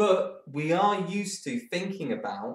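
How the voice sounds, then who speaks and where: This is a man speaking with an English accent. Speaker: maths tutor. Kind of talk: tutorial. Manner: casual, hesitant.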